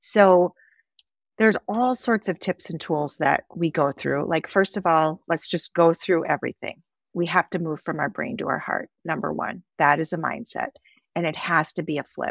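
In a normal speaking voice, a woman talks at a moderate pace with a fairly low pitch and ordinary pitch variation, captured in a very clean recording with a silent background and a dry, close sound with no echo. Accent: American. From Wisconsin, US Midwest. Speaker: author and nonprofit founder. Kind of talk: interview.

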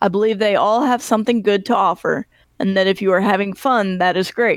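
A woman's normal speaking voice at medium pitch, fairly quick, with fairly even intonation, dry and close with no echo, on a very clean recording with a silent background. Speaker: podcast host. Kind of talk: casual chat, podcast interview.

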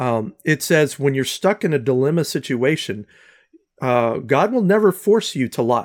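A normal speaking voice with an American accent and lively intonation moves at a moderate pace in a very clean recording with a silent background and a dry, close sound with no echo. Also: man. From US South. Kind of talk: casual interview.

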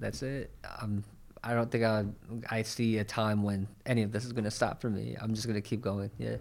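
On a very clean recording with a silent background, a man with an American accent speaks in a fairly low pitch with monotone, flat intonation. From New York. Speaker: photographer and videographer. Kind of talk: casual interview.

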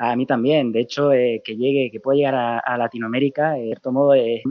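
This man's voice rests at a medium pitch. He delivers his words at a fairly quick pace. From Canary Islands, Spain. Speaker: comic writer and project creator. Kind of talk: interview. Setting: phone call.

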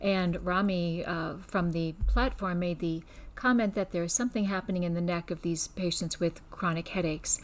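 A plain, everyday voice with an American accent moves at a moderate pace with fairly even intonation. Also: woman, fairly low pitch for a woman. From US Northeast, Scranton, Pennsylvania. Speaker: neurologist. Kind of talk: interview.

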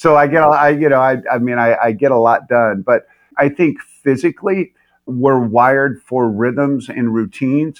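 Speaking at a moderate pace, a man with medium pitch uses ordinary pitch variation and very even loudness in a normal speaking voice. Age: 60s. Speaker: leadership coach and pastor. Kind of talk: casual interview.

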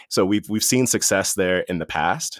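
An ordinary speaking voice with an American accent, at a fairly quick pace, on a very clean recording with a silent background and a dry, close sound with no echo. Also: man. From Washington, D.C. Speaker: corporate executive. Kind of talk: interview.

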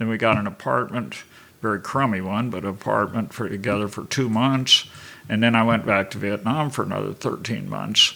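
A man's fairly low voice with vocal fry, ordinary pitch variation and a moderate pace. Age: 70s. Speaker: missionary and Bible college staff. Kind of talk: interview testimony.

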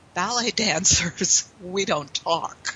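A woman with an American accent speaks at a medium pitch against noticeable background noise. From Pittsburgh, Pennsylvania, US. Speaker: sales trainer. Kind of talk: interview.

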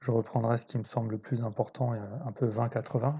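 Fairly slow, somewhat breathy man's voice of medium pitch, dark, mellow tone and fairly even intonation. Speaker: podcast host on trading psychology. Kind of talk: solo podcast monologue, book review. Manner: hesitant, many fillers and repetitions; improvised, thinking aloud.

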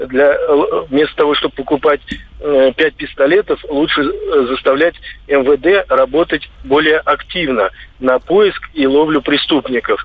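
Fairly slow delivery with long, frequent pauses, very even loudness, and ordinary pitch variation. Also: man, fairly high pitch for a man. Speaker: radio caller. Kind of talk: call-in comment. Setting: phone call.

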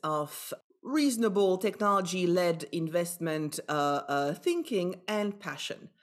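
A woman with a Belgian accent, fairly slow in pace and lively in intonation. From Belgium. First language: not English (Belgian). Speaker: business executive and angel investor. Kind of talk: interview conversation. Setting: remote virtual recording.

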